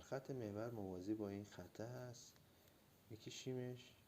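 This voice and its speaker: At a fairly slow pace, a man speaks with fairly low pitch, fairly even intonation and a dark, mellow tone. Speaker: drawing teacher. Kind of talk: tutorial. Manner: halting.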